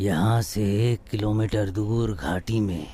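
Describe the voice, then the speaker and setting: Someone uses a put-on character voice at a very slow pace. Clear background noise runs underneath. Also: man. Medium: audio drama. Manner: grave, measured.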